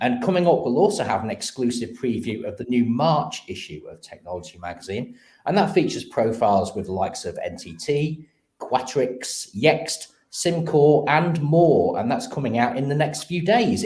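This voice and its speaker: A man with a fairly high pitch speaks at a moderate pace with vocal fry. His delivery has very wide pitch swings and big swings in loudness. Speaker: live stream host. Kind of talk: live show presenting.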